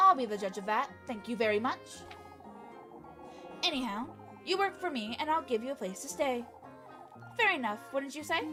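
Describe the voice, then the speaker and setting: Clear music plays behind a woman doing a high-pitched put-on character voice at a moderate pace. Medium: game stream. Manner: sharp, commanding.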